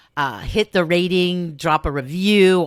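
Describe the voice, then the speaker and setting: A woman with a Southern California accent, in a very clean recording against a silent background. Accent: faint Valley Girl (Southern California). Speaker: podcast host, salon business coach. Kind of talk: podcast monologue. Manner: warm, informal.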